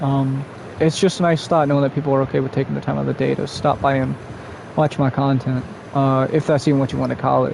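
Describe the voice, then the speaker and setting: The voice moves at a very fast pace in a monotone, flat intonation. Noticeable background noise runs underneath. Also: man, fairly high pitch for a man. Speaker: streamer. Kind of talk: casual live-stream chat while gaming. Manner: rambling, run-on speech; halting, with stutters and fillers.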